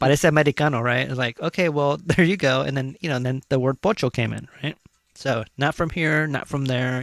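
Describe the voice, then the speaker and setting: A man with a Californian accent talks at a fairly quick pace in a dry, close sound with no echo. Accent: California. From California, Chicano. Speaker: talk show host. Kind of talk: casual chat. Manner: halting, many fillers.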